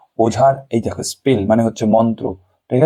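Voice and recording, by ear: Reading aloud in a natural voice with fairly even intonation, the speaker is heard against a quiet background.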